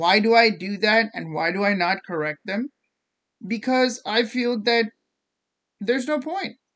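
In an American accent, the speaker moves at a fairly slow pace with long, frequent pauses. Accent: learned American accent, Indian background. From India. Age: late 20s. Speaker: podcast host. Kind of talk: casual solo monologue.

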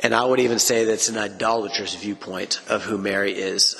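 With music in the background, a man speaks with ordinary pitch variation. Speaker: Bible teacher podcast host. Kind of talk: Bible teaching monologue. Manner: casual with filler words.

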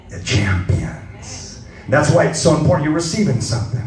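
Music plays in the background under speech with ordinary pitch variation. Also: man. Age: 60s. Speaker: missions pastor. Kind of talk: sermon. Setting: church.

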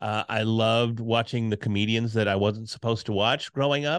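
On a very clean recording with a silent background, a man with a medium pitch speaks loudly. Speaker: podcasting speaker and course creator. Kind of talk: casual interview chat. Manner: loud, animated.

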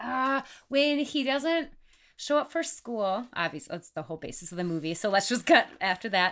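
A woman with an American accent speaks at a moderate pace in a medium pitch, her voice swinging very widely up and down, on a very clean recording with a silent background. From Wisconsin. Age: 30s. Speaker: podcast guest. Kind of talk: casual chat.

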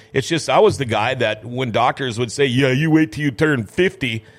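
With an American accent, a man speaks at a fairly quick pace in an unremarkable speaking voice, medium in pitch with lively intonation. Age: 50s. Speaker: radio host. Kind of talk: casual interview chat.

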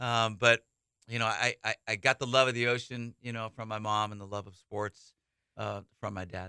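In a Californian accent, a man speaks with a bright, sharp tone, the sound dry and close with no echo on a very clean recording with a silent background. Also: medium pitch for a man, moderate pace, big swings in loudness. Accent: Californian American. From Northern California (Saratoga, San Jose area). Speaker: college baseball head coach. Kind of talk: radio interview. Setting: radio studio. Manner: energetic, enthusiastic.

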